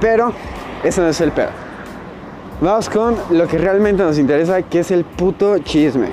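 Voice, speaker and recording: Moderate pace with long, frequent pauses over noticeable background noise. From Mexico. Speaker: podcast host. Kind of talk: casual monologue while walking. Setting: outdoors, walking home.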